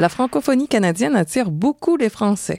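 A woman at medium pitch with a dark, mellow tone and very wide pitch swings, at a moderate pace, in a dry, close sound with no echo on a very clean recording with a silent background. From Quebec, Montreal. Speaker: podcast co-host. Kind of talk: travel podcast hosting, partly scripted.

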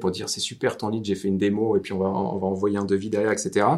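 A man talks at a very fast pace with a fairly low pitch, in a Normandy accent. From Normandy, France. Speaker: marketing agency owner and podcast host. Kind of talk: casual interview. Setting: on location at client's office.

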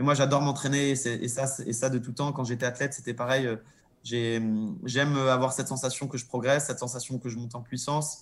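At a fairly quick pace, a man speaks with fairly even intonation and a medium pitch. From Monaco. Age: 30s. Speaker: professional cyclist. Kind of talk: interview. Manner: hesitant.

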